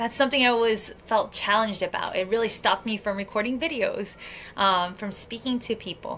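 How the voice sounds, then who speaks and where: Bright and sharp in tone, a woman's fairly high voice moves at a moderate pace with ordinary pitch variation, recorded very cleanly against a silent background. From Miami. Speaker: life coach. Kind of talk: motivational vlog.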